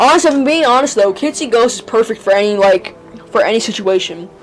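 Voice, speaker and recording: A fairly quick pace with music in the background. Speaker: music reviewer. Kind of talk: casual album review monologue. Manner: halting, many fillers.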